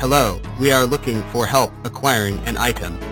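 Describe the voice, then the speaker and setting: A man's put-on character voice at medium pitch and moderate pace, with loud music in the background. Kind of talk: neutral, flat. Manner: robotic, emotionless.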